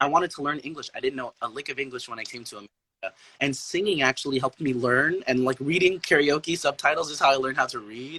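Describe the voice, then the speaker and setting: A man talks at a very fast pace with hardly any pauses, at a fairly high pitch in a bright, sharp tone. His loudness swings widely, and the sound is dry and close with no echo. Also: ordinary pitch variation. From Philippines, Zamboanga, Mindanao. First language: Chabacano. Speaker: artist, musician and poet. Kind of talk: casual chat.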